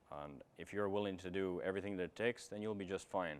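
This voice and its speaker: A man talks very fast in an American accent. His intonation is flat and monotone. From outside the US. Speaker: firefighter paramedic. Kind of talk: recruitment information session.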